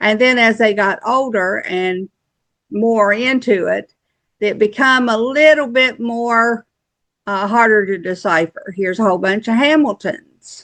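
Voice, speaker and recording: Fairly slow delivery from a woman, fairly high in pitch, with ordinary pitch variation. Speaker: genealogy YouTuber. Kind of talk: screen-share tutorial. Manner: casual, halting.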